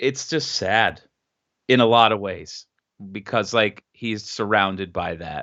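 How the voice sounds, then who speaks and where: A man with an American accent speaks in a normal speaking voice at a fairly low pitch. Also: ordinary pitch variation, fairly slow pace. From Philadelphia area, US East Coast. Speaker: podcast guest. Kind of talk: casual chat.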